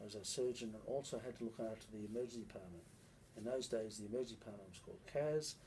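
Over light background noise, a man talks in a fairly low, dark, mellow voice that is somewhat breathy, with fairly even intonation. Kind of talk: interview answer. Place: office. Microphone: phone near.

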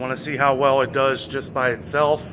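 There is noticeable background noise behind this man. He talks at a moderate pace. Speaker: vlogger. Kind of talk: casual vlog chat. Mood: relaxed, chatty. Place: street. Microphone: phone near.

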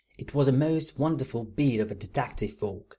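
The text is being read aloud in a natural voice.

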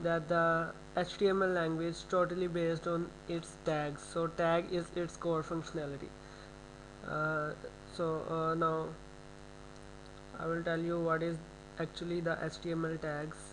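A man with a non-native accent and a high pitch speaks at a moderate pace in a flat monotone, pausing long and often. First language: not English. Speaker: programming tutor. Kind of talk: screen-recorded coding tutorial. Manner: hesitant, many filler sounds.

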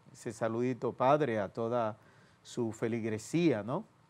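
Going at a fairly slow pace, a man talks with a slightly mellow tone. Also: medium pitch for a man, ordinary pitch variation.

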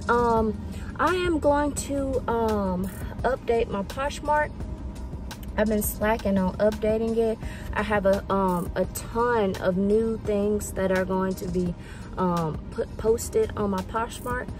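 Against clear music in the background, a woman speaks very slowly with ordinary pitch variation in a dry sound with no echo. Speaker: thrift vlogger, reseller. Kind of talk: casual vlog chat. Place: car. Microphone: phone near.

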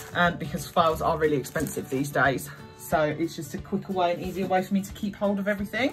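Clear music plays in the background. The voice moves at a very fast pace with ordinary pitch variation. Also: woman, fairly low pitch for a woman. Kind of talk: casual haul vlog chat. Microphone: phone near.

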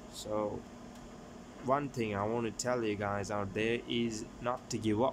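Over noticeable background noise, a man talks at a fairly slow pace with a medium pitch and fairly even intonation. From Sri Lanka. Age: 20s. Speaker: YouTuber; vlogger. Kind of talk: casual vlog; casual vlog chat. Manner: halting. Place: home room. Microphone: phone near.

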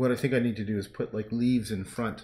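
There is a man talking, with a little background noise behind him. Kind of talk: casual livestream chat. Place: home room. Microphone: camera far.

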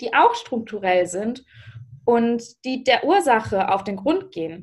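A woman talks at a fairly slow pace. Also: quiet background. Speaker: youth politician. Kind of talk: panel discussion. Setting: video call. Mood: serious, earnest. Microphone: video call.

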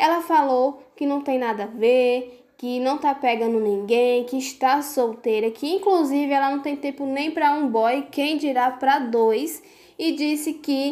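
With a Brazilian accent and a dark, mellow tone, the speaker moves at a fairly slow pace with hardly any pauses and ordinary pitch variation. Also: woman. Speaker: celebrity gossip YouTuber. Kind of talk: gossip video monologue. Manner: animated.

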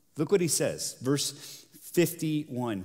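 Lively intonation in a man's speech. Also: quiet background. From South America. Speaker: pastor. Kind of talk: sermon. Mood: warm storytelling. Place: stage. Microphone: headset.

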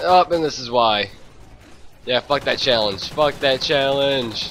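Noticeable background noise is present. A man speaks at a very slow pace. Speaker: gamer. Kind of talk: gameplay commentary. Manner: casual, excitable.

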